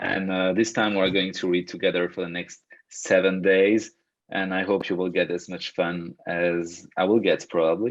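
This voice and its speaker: A man's very deep, low voice in a Belgian French accent, monotone and flat, at a moderate pace. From Belgium. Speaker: personal growth coach. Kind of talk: online workshop talk. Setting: video call. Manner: hesitant, many fillers and repetitions.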